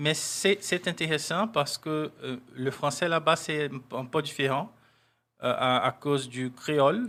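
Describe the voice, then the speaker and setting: A man's normal speaking voice, fairly high in pitch with ordinary pitch variation, at a fairly slow pace on a very clean recording with a silent background. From Brazil, Ilhéus, Bahia. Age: 40s. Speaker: diplomat. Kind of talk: interview.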